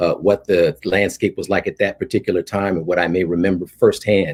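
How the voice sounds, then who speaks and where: A man speaks with a very deep, low pitch. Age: 60s. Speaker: professor and scholar. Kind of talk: panel discussion. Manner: halting, many fillers.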